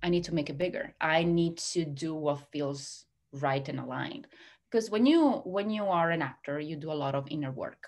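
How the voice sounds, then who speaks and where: Against a quiet background, a woman with an Italian accent talks at a moderate pace in a very deep, low pitch with ordinary pitch variation. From Italy. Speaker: hypnotherapist and success coach. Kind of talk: interview conversation.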